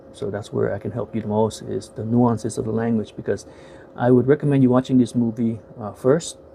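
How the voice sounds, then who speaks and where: A fairly quick, fairly even delivery with an American accent over noticeable background noise. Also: man, medium pitch for a man. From United States. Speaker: YouTuber, film reviewer. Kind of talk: casual video review. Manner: halting, many fillers.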